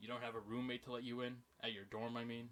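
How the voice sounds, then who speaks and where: A put-on character voice at a very fast pace with monotone, flat intonation. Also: man, medium pitch for a man. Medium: game stream. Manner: curt, suspicious.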